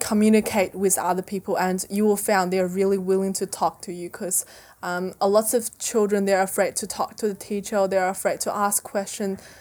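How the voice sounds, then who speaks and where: A woman's medium-pitched voice with a Chinese accent and flat, monotone intonation, on a very clean recording with a silent background. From central China, Zhengzhou. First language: Mandarin Chinese. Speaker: former international student. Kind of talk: interview. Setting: school, recorded in person.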